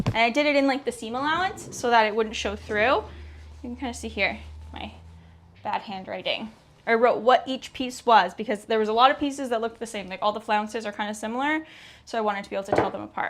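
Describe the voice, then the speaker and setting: Talking at a very fast pace, a woman with fairly high pitch, ordinary pitch variation and vocal fry comes through. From Canada. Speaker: sewing vlogger. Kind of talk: casual vlog chat. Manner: animated.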